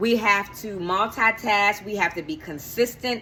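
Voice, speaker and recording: The speaker has an animated tone and lively intonation, with noticeable background noise behind the voice. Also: woman. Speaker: lifestyle vlogger and life coach. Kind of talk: casual vlog talk to camera. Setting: filming at home in the kitchen. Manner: fast.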